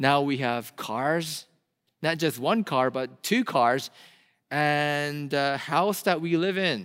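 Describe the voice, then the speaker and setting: A fairly high-pitched male voice with a Korean accent, ordinary pitch variation and a very slow pace, in a very clean recording with a silent background. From South Korea. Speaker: pastor. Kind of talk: sermon. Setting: church.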